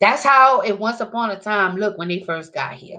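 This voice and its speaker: A woman's animated voice, bright and sharp in tone, with ordinary pitch variation. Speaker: video blogger. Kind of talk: casual monologue.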